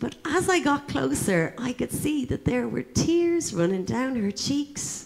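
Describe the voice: In a put-on character voice, a woman speaks at a high pitch and a fairly slow pace, with lively intonation, a slightly mellow tone and vocal fry.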